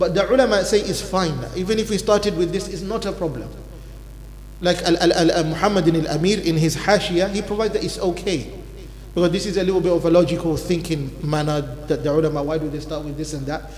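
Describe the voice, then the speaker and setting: A man's high-pitched voice at a very fast pace, fairly even in intonation, with noticeable background noise and audible room echo. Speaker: imam teaching Islamic law class. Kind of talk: religious lecture. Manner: normally talks fast.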